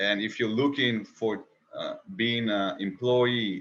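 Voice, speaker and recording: A man with an Israeli accent at a fairly slow pace. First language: Hebrew. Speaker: interview host. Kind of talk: interview.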